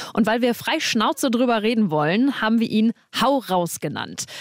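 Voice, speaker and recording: With a plain, everyday voice, a woman speaks at a moderate pace and a fairly high pitch, using ordinary pitch variation, in a dry, close sound with no echo. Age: 20s. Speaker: radio trainee, podcast co-host. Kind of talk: podcast intro.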